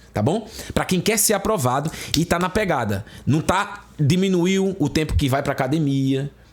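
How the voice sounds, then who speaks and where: The man sounds animated, with lively intonation. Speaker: exam prep teacher. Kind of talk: online lecture. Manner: fast.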